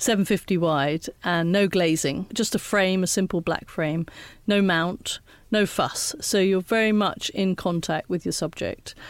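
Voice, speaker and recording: Speaking in an ordinary speaking voice, a woman of medium pitch talks at a fairly slow pace with ordinary pitch variation and very even loudness, in a very clean recording with a silent background. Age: 60s. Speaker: photographer. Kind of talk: interview.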